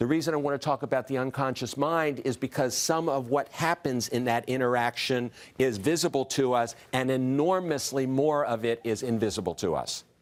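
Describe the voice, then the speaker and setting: A man at a medium pitch talks with very even loudness, hardly any pauses and ordinary pitch variation. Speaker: diversity consultant and speaker. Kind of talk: talk to an audience. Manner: fast.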